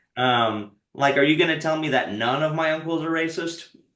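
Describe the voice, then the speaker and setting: A man with a Texan accent and ordinary pitch variation, in audible room echo. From Texas. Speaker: stand-up comedian. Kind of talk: casual interview chat.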